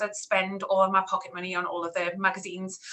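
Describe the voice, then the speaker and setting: In a Newcastle accent, a woman talks at a fairly quick pace with monotone, flat intonation amid noticeable background noise. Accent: Newcastle (Geordie). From northern England, Newcastle. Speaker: PR account manager. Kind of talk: online talk interview. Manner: hesitant, many fillers.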